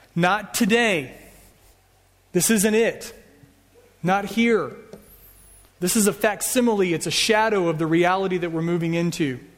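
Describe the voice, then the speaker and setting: A man with an American accent, high-pitched with ordinary pitch variation, at a moderate pace with long, frequent pauses, in audible room echo. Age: 40s. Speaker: pastor. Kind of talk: sermon. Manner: casual.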